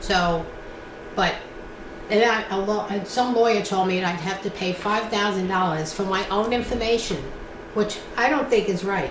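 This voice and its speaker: With a New York accent, a woman speaks at a medium pitch and moderate pace, leaving long, frequent pauses. Her pitch varies in an ordinary way, amid noticeable background noise and audible room echo. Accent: New York City. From New York City (Brooklyn). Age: 70s. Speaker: oral history interviewee. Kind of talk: oral history interview.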